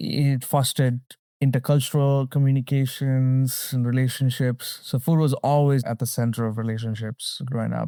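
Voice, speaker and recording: Recorded very cleanly with a silent background and a dry, close sound with no echo, a man talks at a moderate pace in a medium pitch. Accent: Tamil. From Sri Lanka and the Middle East. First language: Tamil. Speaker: storyteller and educator. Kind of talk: interview. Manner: conversational, some hesitation.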